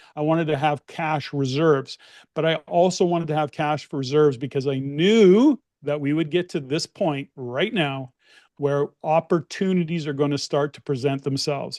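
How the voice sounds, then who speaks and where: Against a quiet background, a man with a Canadian accent talks at a moderate pace in an unremarkable speaking voice, fairly high pitched with ordinary pitch variation. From Canada, Edmonton, Alberta. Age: 60s. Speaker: real estate investor and investment network head. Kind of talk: webinar panel discussion. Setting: online event.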